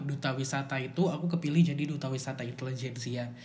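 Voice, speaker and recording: Against audible room echo, a man with a fairly high pitch speaks at a moderate pace, somewhat breathy, with fairly even intonation. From Samarinda, East Kalimantan, Indonesia. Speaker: university student and public speaker. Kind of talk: casual chat.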